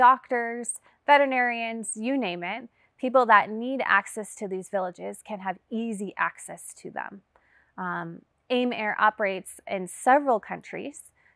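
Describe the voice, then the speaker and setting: An unremarkable speaking voice from a woman with an American accent, fairly slow, on a very clean recording with a silent background. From US, Las Vegas. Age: 30s. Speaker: missionary pilot. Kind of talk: testimony.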